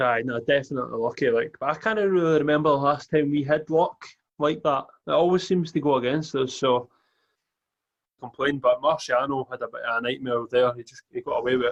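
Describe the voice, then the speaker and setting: A man talks at a fairly quick pace in a Scottish accent. His fairly high voice shows big swings in loudness. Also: ordinary pitch variation. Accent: Scottish, Edinburgh. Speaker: football fan pundit. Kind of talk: casual chat.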